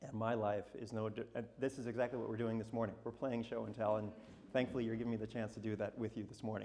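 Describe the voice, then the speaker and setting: A man's medium-pitched voice, dark and mellow in tone, at a very fast pace with monotone, flat intonation. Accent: American. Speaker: portrait photographer giving a talk. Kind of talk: talk to a live audience. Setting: stage with audience.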